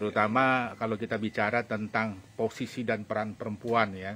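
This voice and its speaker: A man is speaking. He goes at a fairly slow pace. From Bali. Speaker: talk show host. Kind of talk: interview.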